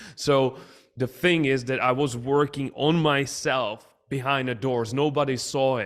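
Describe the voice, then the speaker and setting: On a very clean recording with a silent background, a man with a non-native accent and medium pitch speaks at a fairly slow pace with fairly even intonation. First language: not English. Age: young. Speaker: business coach and entrepreneur. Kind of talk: podcast interview.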